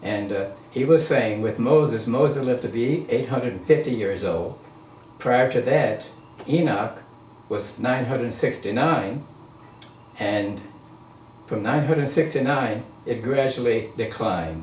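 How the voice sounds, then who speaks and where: With audible room echo, a man speaks at a medium pitch, leaving long, frequent pauses. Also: ordinary pitch variation, fairly slow pace. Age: 80s+. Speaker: interviewee on spirituality. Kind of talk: casual interview.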